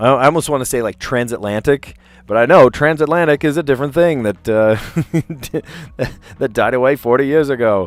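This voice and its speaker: In an American accent, a man talks at a moderate pace with lively intonation. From US Northeast, South Jersey. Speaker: teacher and puzzle streamer. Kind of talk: casual chat. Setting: live stream. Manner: halting.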